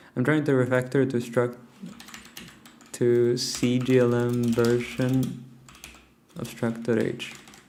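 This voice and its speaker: In a room with audible echo and noticeable background noise, a man at a medium pitch speaks very slowly and flatly in a monotone, with long, frequent pauses. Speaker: programming livestreamer. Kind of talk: live coding stream chat. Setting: at home, early morning. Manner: quiet, hushed.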